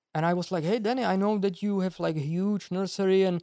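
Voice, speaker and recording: A voice with a Czech accent is heard in a dry, close sound with no echo. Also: man. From Czech Republic, village. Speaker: bonsai artist. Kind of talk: casual chat.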